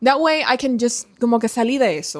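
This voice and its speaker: A woman with a Spanish accent, high-pitched and animated, at a moderate pace. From Dominican Republic. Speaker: book youtuber. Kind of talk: casual vlog chat.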